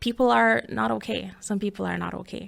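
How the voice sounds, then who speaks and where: A woman with a Jamaican accent and a bright, sharp tone at a moderate pace, in a very clean recording with a silent background. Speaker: podcast host. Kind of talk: podcast monologue.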